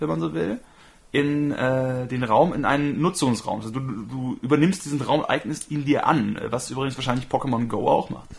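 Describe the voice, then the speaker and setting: A man with an unremarkable speaking voice, medium pitch, ordinary pitch variation and moderate pace. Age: 30s. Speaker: podcast co-host. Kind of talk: casual chat.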